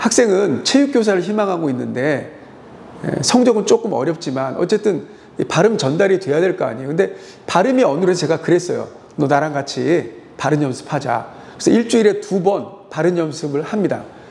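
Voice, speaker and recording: Amid noticeable background noise, a man speaks at a high pitch with lively intonation. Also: fairly quick pace. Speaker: high school teacher. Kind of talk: monologue commentary. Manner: halting with fillers.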